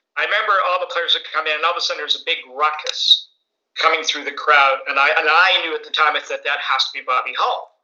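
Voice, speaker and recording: A man talks very fast in a fairly high voice, his pitch varying in an ordinary way. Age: 60s. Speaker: podcast co-host and superfan. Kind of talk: interview.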